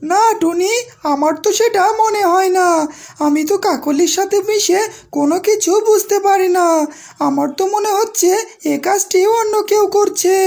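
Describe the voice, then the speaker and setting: Pitched extremely high, a woman does a cartoonish character voice. She keeps a moderate pace. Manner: soft, timid.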